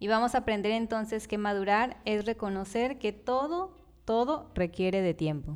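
Hers is an unremarkable speaking voice, fairly high in pitch, with lively intonation, a moderate pace and very even loudness. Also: very clean recording, silent background. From Mexico, Tabasco. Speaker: podcast co-host, biologist.

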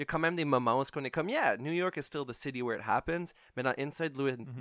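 A man talks at a fairly quick pace. His pitch variation is ordinary. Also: dry, close sound with no echo, quiet background. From Ontario (Ottawa), Franco-Ontarian. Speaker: podcast co-host. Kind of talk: casual chat. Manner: hesitant, many fillers.

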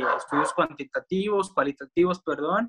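The sound is dry and close, with no echo at all. A man talks at a moderate speed. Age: 20s. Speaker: marketing student, podcast host. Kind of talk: casual chat. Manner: halting. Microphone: poor audio quality.

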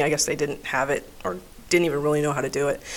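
A woman speaks in an American accent. Her intonation is monotone and flat. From Texas, El Paso. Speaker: flight nurse and paramedic. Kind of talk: casual interview.

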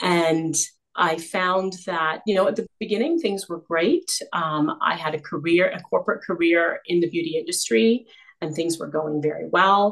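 This is a normal speaking voice with a Canadian accent. It moves at a moderate pace with ordinary pitch variation. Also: woman, fairly low pitch for a woman. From Canada. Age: 50s. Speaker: image consultant. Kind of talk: interview.

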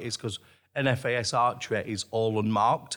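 A man with a Lancashire accent on a very clean recording with a silent background. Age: 50s. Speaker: archery shop owner and archer. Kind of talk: interview.

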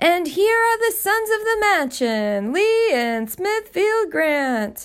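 A woman performs a put-on character voice at an extremely high pitch. She talks very slowly, with very wide pitch swings. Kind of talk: formal. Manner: formal, announcing.

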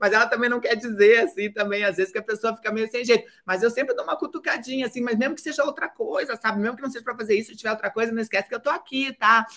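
A woman speaks at a very fast pace with a fairly high pitch. Her tone is bright and sharp. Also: ordinary pitch variation. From Brazil, Curitiba. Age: 50s. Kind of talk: interview.

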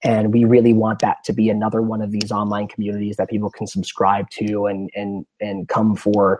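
The recording is dry and close with no echo as a man with a fairly low pitch speaks at a moderate pace. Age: 20s. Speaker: writer and film director. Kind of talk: casual chat.

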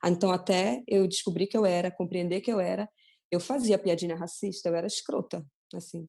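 A dark, mellow tone marks this voice. The woman talks at a fairly quick pace. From Pará, Ananindeua. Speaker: photographer. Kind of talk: casual chat.

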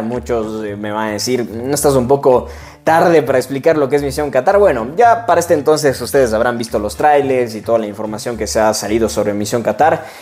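A man talking at a fairly quick pace. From Ecuador, Cuenca. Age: 20s. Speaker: sports journalist. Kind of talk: solo podcast monologue. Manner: hesitant, many fillers.

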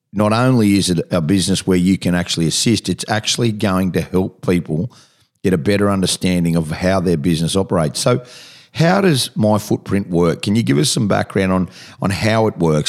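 Speaking with an Australian accent at a fairly quick pace, a man uses a very deep, low pitch with ordinary pitch variation and very even loudness. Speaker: radio host. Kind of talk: radio interview.

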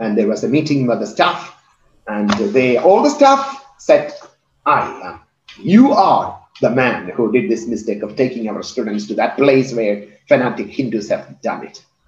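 Audible room echo surrounds a man whose voice swings widely in loudness. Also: moderate pace. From India, Kerala. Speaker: pastor and missionary trainer. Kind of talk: sermon; testimony.

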